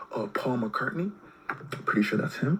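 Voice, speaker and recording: There is clearly audible noise in the background. Over it, a man talks. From Canada. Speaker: YouTuber. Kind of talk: casual commentary. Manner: casual, hesitant with many fillers.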